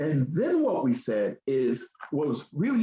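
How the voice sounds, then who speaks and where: Vocal fry at a fairly slow pace. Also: man. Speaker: education program presenter. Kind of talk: radio talk show presentation.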